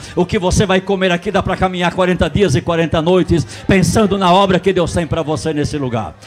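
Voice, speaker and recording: A man with a high pitch sounds animated and moves at a fairly quick pace. Noticeable background noise runs underneath. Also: ordinary pitch variation. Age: 60s. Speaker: pastor. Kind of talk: sermon.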